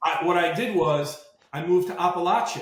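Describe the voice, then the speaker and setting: In a New York accent, a man speaks at a moderate pace with fairly even intonation and a fairly high pitch. Audible room echo surrounds his voice. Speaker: marine veteran and litigation finance entrepreneur. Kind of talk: podcast interview.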